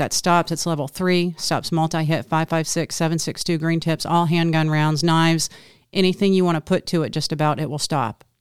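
In a very clean recording with a silent background, a woman with a plain, everyday voice speaks at a moderate pace, her fairly low pitch and fairly even intonation captured in a dry, close sound with no echo. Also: hardly any pauses. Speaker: co-host. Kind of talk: casual chat. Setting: outdoors.

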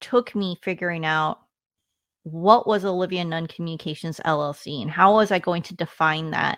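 Recorded very cleanly with a silent background and a dry, close sound with no echo, a woman with an unremarkable speaking voice and an American accent talks at a moderate pace and fairly low pitch with ordinary pitch variation. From US, Washington State. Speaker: retired army officer and communications executive. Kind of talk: interview.

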